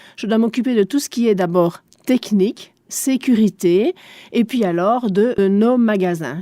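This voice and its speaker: A woman with a German accent speaks at a fairly slow pace in a fairly high voice with a dark, mellow tone and ordinary pitch variation, in a dry, close sound with no echo. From Belgium, Spa area (German-speaking east). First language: German (speaking French). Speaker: shopping centre director. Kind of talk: radio interview.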